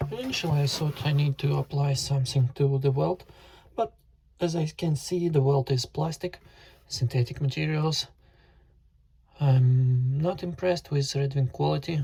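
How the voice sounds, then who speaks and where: A man with a fairly high pitch, ordinary pitch variation, a dark, mellow tone and a somewhat breathy sound, at a moderate pace with very even loudness and long, frequent pauses. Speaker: boot reviewer, YouTuber. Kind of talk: tutorial. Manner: halting, with fillers.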